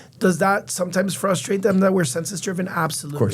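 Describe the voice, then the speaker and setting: A high-pitched man with fairly even intonation amid audible room echo. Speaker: healthcare executive. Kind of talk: podcast interview. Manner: fast.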